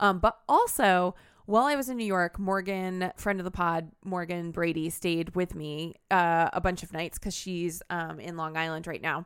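On a very clean recording with a silent background, a woman with an ordinary speaking voice talks at a moderate pace with hardly any pauses, her pitch fairly low and her pitch variation ordinary. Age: 30s. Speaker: podcast co-host. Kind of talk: casual chat.

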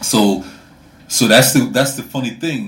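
A somewhat breathy man's voice carries audible room echo. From Sweden. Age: 40s. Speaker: podcast host. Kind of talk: casual chat.

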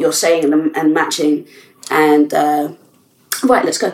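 The voice moves at a moderate pace amid noticeable background noise. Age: 30s. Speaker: podcast host. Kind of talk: casual chat.

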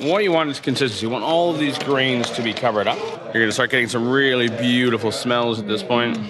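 A man talks at a very fast pace with ordinary pitch variation, with audible room echo and noticeable background noise. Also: medium pitch for a man. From Canada, Toronto. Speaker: brewery co-founder and brewing teacher. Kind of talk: tutorial.

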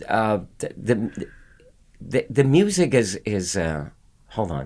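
Very slow and fairly low, a man's voice carries vocal fry and swings very widely in pitch. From Philippines, Manila. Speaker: Broadway actor. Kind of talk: casual chat. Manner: halting.

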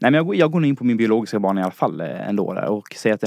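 This is a man with a fairly low pitch. His tone is dark and mellow. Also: dry, close sound with no echo, quiet background. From Dalarna, Sweden. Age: 20s. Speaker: listener challenger, student. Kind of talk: casual chat. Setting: studio.

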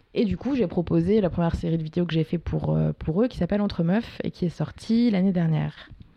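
Noticeable noise hums behind a woman who speaks at a moderate pace. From France, Paris. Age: 20s. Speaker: documentary filmmaker. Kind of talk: casual interview. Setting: at her home.

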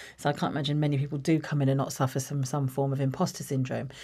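Spoken with a southern English accent, the recording is very clean with a silent background. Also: woman. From England, Watford. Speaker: marketing executive. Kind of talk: interview.

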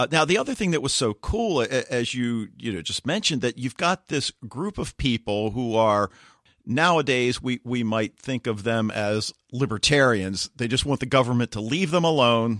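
In a dry, close sound with no echo and a very clean recording over a silent background, a man uses a plain, everyday voice at a moderate pace with lively intonation. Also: medium pitch for a man. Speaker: podcast co-host. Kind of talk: casual chat.

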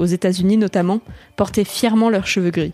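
This is an unremarkable speaking voice. It moves at a fairly quick pace with fairly even intonation. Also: woman. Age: 20s. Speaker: magazine writer reading her own article. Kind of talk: reading aloud.

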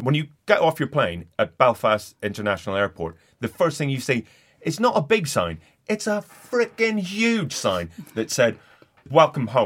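Fairly high-pitched with vocal fry, a man's voice moves in very wide pitch swings and leaves long, frequent pauses. The recording is very clean, with a silent background. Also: moderate pace. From Northern Ireland. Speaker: comedian. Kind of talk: casual chat.

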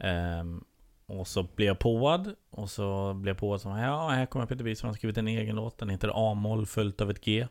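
At a moderate pace and a fairly low pitch, a man speaks in a plain, everyday voice. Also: ordinary pitch variation. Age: 30s. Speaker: comedian and TV producer. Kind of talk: casual chat.

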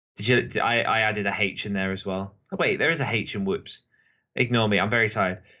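Speaking with a British accent, a man has a fairly low pitch. His pace is very fast. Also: ordinary pitch variation. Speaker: podcast host and co-author. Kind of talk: casual chat. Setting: online call, poor connection.

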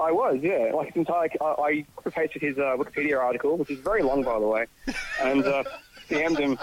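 A man with a fairly high voice and ordinary pitch variation talks at a very fast pace in an Australian accent, his loudness very even over noticeable background noise. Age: 20s. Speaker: podcast guest. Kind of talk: casual chat.

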